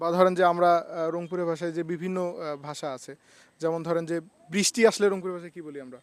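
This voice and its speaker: With fairly even intonation, a man speaks in a high voice while his loudness swings widely. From Bangladesh, Rangpur region. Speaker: vlogger interviewing locals. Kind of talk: street interview, casual chat.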